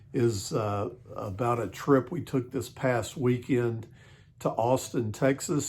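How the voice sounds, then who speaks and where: A man's somewhat breathy, medium-pitched voice at a fairly slow pace. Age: 60s. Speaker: vlogger. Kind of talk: casual vlog talk. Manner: halting, many fillers.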